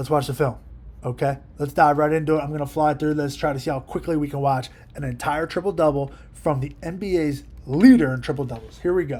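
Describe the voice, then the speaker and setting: A somewhat breathy man at a fairly high pitch, talking at a very fast pace. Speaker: basketball coach. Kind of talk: film breakdown commentary. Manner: animated.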